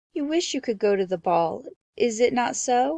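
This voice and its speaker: Putting on a character voice, a woman speaks at a high pitch. Her pace is moderate. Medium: read story. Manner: warm, gentle.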